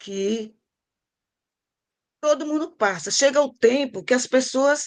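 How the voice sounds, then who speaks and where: A woman at a very slow pace with ordinary pitch variation against a quiet background. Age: 70s. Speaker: service club veteran member. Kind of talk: speech at club meeting.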